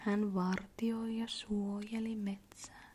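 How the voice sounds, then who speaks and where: A woman whispers, soft-spoken. Her pace is very slow. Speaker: ASMR creator. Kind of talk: bedtime story reading. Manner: soft-spoken, whispery, slow, calming.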